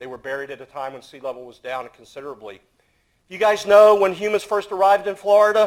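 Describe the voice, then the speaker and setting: A man at a very fast pace with ordinary pitch variation. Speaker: archaeologist. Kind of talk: panel talk. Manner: loud.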